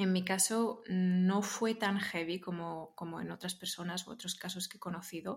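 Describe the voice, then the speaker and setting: A woman with an ordinary speaking voice talks at medium pitch and a moderate pace, with hardly any pauses. Her intonation stays fairly even while her loudness swings widely. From Spain, Barcelona. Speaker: interview guest sharing personal growth story. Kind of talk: casual interview conversation.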